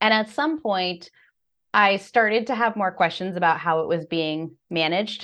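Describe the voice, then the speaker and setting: A woman with an American accent and an unremarkable speaking voice, medium pitch and lively intonation at a moderate pace, over a quiet background. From United States. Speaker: financial coach. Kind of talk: interview.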